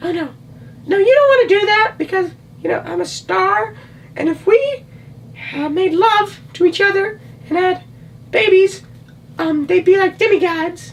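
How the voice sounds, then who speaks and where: In a put-on character voice, a man talks in an extremely high, squeaky pitch. His pace is moderate, broken by long, frequent pauses. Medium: solo performance.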